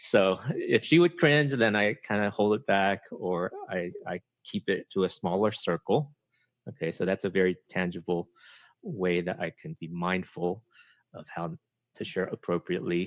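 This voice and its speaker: Very deep and low, this man's voice carries an American accent and lively intonation at a moderate pace. The sound is dry and close with no echo. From US, emigrated from Taiwan at age eight. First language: Chinese. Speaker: podcaster and writer on culture and faith. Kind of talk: podcast interview. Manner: halting, many fillers.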